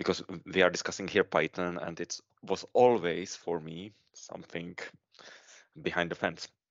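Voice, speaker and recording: Speaking at a moderate pace, this man has a very deep, low voice and a Czech accent. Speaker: podcast co-host, consultant. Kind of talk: podcast interview.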